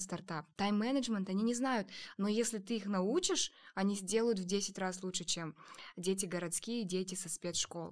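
A woman at medium pitch in an ordinary speaking voice, moderate in pace with ordinary pitch variation, on a very clean recording with a silent background. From Kazakhstan, small district town. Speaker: startup co-founder, education center. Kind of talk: casual chat.

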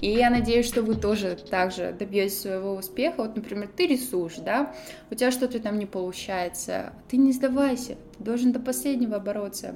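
A woman's fairly high voice, with normal rise and fall in pitch, comes at a middling speed against clearly audible background noise. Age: 20s. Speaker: podcaster. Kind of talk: personal storytelling monologue. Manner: chatty, casual.

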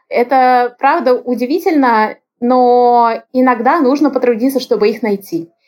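A woman's high voice, fairly slow, with very even loudness and ordinary pitch variation. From Russia, Moscow region. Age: 30s. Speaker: lawyer, international development specialist. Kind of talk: casual interview.

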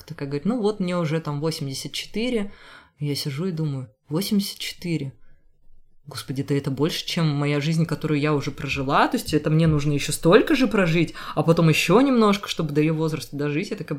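Ordinary pitch variation at a moderate pace, on a very clean recording against a silent background. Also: woman. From Rubtsovsk, Altai Krai, Russia. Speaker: museum tour guide and dancer. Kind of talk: interview conversation.

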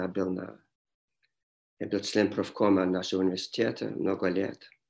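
With an English accent, a man talks over a quiet background. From Montreal, Canada. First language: English (speaking Russian). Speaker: history professor. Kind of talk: interview. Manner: halting.

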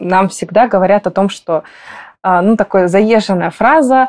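At a fairly slow pace, a woman talks in a medium pitch with ordinary pitch variation and an unremarkable speaking voice. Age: 20s. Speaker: psychologist. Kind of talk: casual chat.

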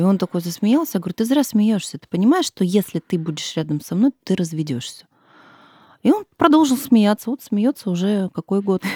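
Her voice is medium-pitched and somewhat breathy with a dark, mellow tone and very wide pitch swings, as a woman speaks at a moderate pace on a very clean recording with a silent background and a dry, close sound with no echo. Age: 30s. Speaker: mother and stepmother of five. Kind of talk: casual interview. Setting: studio.

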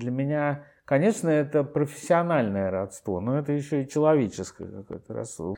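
A man's fairly high voice with a dark, mellow tone and lively intonation, hardly any pauses and a quiet background. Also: moderate pace. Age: old. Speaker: theatre director. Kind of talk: interview, reminiscing. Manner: halting.

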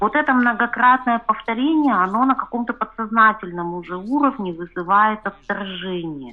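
A woman's fairly high, lively voice, an ordinary speaking voice. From Chelyabinsk, Russia. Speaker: reader of the outlet sharing her story. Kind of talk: personal interview story.

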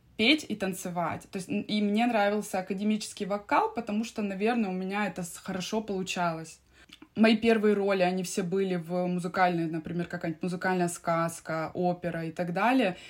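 A woman speaks in a plain, everyday voice at medium pitch. Her pace is fairly quick and her intonation fairly even. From Siberia, Russia. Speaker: opera singer and vocal coach. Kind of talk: casual interview.

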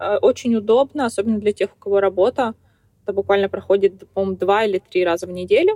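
A woman talks at a very fast pace with fairly even intonation and a dark, mellow tone. The sound is dry and close, with no echo. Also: medium pitch for a woman. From Kazakhstan, small town. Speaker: truck driver and blogger. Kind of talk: interview.

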